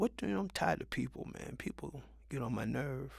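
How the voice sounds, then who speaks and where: Vocal fry colors a man's voice as he speaks at a fairly quick pace. His pitch swings very widely. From Mount Vernon, New York. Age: 60s. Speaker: vlogger. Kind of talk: casual monologue. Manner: animated.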